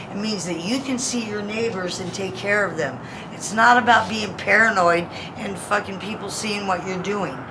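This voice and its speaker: Audible room echo sits alongside noticeable background noise in the recording. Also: woman, medium pitch for a woman, ordinary pitch variation, moderate pace. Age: 50s. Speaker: homeless military veteran. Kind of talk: street interview. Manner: animated.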